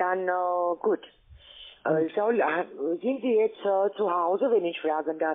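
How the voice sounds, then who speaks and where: A woman's very slow speech with long, frequent pauses, ordinary pitch variation, very even loudness and a non-native accent against a quiet background. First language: not German (speaking German). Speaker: scam call center agent. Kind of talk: sales pitch. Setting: phone call. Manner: halting. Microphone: phone line.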